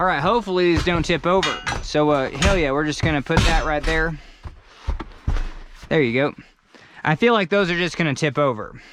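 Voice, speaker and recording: The pace is fairly quick, broken by long, frequent pauses. Noticeable background noise sits under the speech. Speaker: video blogger doing yard work. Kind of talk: casual vlog narration while working. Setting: outdoors. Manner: casual, repetitive and halting; loud, yelling.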